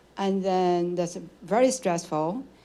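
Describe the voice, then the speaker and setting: A very slow, medium-pitched woman's voice with audible room echo. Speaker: audience member asking a question. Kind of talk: audience question at a lecture Q&A.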